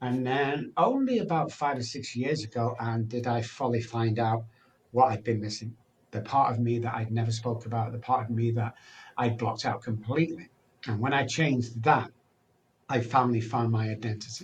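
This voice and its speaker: Somewhat breathy, a man speaks at a medium pitch and a moderate pace with fairly even intonation. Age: 60s. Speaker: addiction recovery speaker and doctor. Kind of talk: podcast interview. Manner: conversational with fillers.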